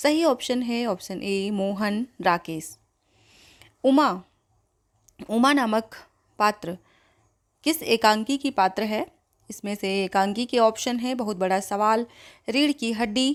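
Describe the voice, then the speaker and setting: A woman with a fairly high pitch and ordinary pitch variation leaves long, frequent pauses on a very clean recording with a silent background. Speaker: Hindi exam coaching teacher. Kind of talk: quiz-style exam tutorial.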